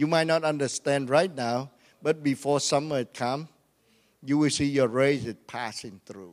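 A man with a Vietnamese accent speaks at a moderate pace in a fairly high pitch, on a very clean recording with a silent background. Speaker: pastor. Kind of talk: sermon. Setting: church. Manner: animated.

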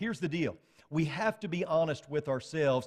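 Recorded very cleanly against a silent background, a man with an unremarkable speaking voice speaks at a fairly high pitch with lively intonation. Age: 40s. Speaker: preacher. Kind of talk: sermon. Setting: church.

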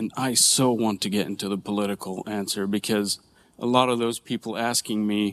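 Pitched fairly low, a man talks at a moderate pace. The recording is very clean, with a silent background. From Israel, Nazareth (Palestinian community). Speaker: church member sharing personal testimony. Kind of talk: testimony. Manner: halting.

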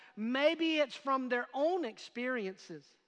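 Speaking in a raised, projected voice at a fairly slow pace, a man with an extremely high pitch sounds bright and sharp, his pitch varying in an ordinary way. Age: 50s. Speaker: pastor. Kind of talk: sermon. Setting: church with in-person and online audience.

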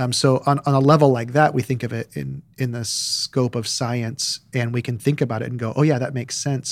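The recording is very clean, with a silent background. An ordinary speaking voice keeps a moderate pace and fairly even intonation. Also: man. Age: 40s. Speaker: pastor. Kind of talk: casual chat.

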